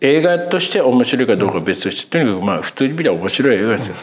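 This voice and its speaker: Speech races at a very fast pace. Its pitch swings very widely. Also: man. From Tokyo, Ota ward (Kamata). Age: 50s. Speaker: film critic podcast co-host. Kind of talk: casual interview chat.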